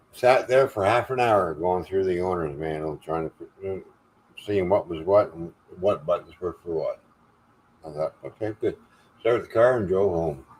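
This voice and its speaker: A man with a very deep, low pitch talks at a moderate pace, leaving long, frequent pauses. His loudness swings widely. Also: ordinary pitch variation. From Canada (Ontario). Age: 60s. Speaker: live stream host. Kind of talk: casual chat. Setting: live stream.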